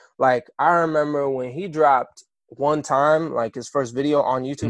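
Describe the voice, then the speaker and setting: With an American accent, a man in an ordinary speaking voice talks at a moderate pace and a fairly high pitch, the sound dry and close with no echo. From Kansas, US. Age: 20s. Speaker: musician. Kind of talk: interview. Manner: casual, conversational.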